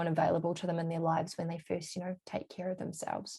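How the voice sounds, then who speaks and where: A woman's fairly low, dark and mellow voice, somewhat breathy, with a New Zealand accent, very fast and in a flat monotone. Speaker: holistic health coach. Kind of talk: casual interview chat.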